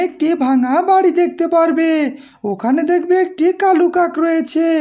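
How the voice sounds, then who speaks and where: A woman's cartoonish character voice, extremely high in pitch, at a fairly slow pace. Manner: friendly, courteous.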